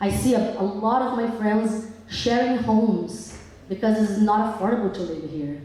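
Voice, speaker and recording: In a Brazilian accent, the speech comes at a moderate pace, with audible room echo and noticeable background noise. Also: woman. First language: Portuguese. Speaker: public commenter, activist. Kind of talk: public hearing comment. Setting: public hall with audience. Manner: animated.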